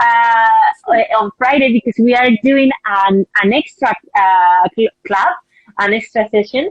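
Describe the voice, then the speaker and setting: Delivered at a very slow pace in a Spanish accent, the speech has ordinary pitch variation and very even loudness, with a dry, close sound and no echo. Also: woman, fairly high pitch for a woman. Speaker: book club host for a publisher. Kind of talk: live-streamed interview conversation. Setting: Instagram live video stream. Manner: halting, frequent repetitions and fillers.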